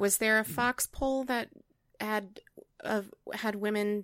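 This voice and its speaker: At a very slow pace, a woman speaks in a medium pitch with ordinary variation. The recording is very clean, with a silent background. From US Midwest and Hawaii. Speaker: choral conductor and music teacher. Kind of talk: casual chat.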